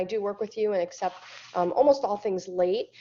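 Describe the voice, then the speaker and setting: Her pitch fairly high, a woman talks with ordinary pitch variation. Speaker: chemistry instructor. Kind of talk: lecture. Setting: webinar. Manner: fast.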